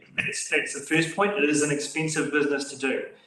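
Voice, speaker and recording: A man with a New Zealand accent speaks loudly in a fairly high pitch with a bright, sharp tone, and room echo is audible. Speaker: council staff member. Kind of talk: council meeting briefing.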